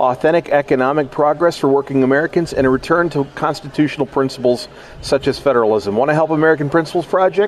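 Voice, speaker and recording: Over noticeable background noise, a man talks very fast at a fairly high pitch. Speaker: radio host. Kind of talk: radio interview. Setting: conference, recorded live.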